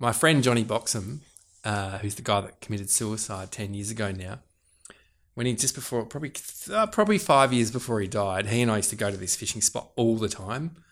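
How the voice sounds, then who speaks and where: On a very clean recording with a silent background, a man with an Australian accent talks at a fairly quick pace and medium pitch, with ordinary pitch variation. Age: 40s. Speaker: farmer and fisherman. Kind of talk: casual interview chat.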